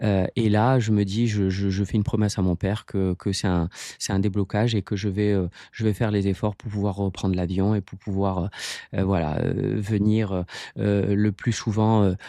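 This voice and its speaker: In a dry, close recording with no echo and a quiet background, a man speaks at a moderate pace with a dark, mellow tone, fairly low pitch and monotone, flat intonation. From Morocco (Casablanca), Italian family. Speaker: sports coach, marathon runner. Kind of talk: interview answer. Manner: hesitant, many fillers and repetitions.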